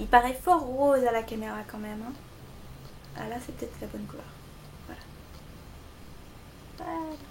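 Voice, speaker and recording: High-pitched woman with a Belgian accent, moderate pace, long, frequent pauses, big swings in loudness and ordinary pitch variation, plus audible room echo and noticeable background noise. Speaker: beauty vlogger. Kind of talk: product review tutorial.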